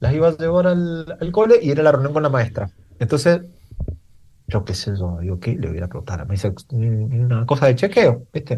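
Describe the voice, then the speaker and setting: Speaking in an Argentine accent, a man has a dark, mellow, somewhat breathy tone. His pitch swings very widely. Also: medium pitch for a man, moderate pace. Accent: Argentine Spanish (rioplatense voseo). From Argentina, Mendoza. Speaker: advertising creative director. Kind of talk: casual chat. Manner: halting, with repeated words.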